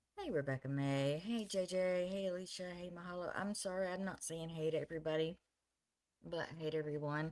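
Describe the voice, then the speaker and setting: A soft-spoken woman with a fairly low pitch, talking at a fairly quick pace with fairly even intonation. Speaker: live streamer. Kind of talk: casual chat.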